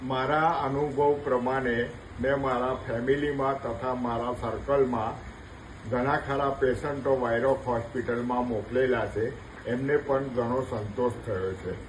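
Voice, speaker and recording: A man's medium-pitched voice keeps fairly even intonation while noticeable background noise plays behind it. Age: 70s. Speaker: knee replacement patient. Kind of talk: patient testimonial.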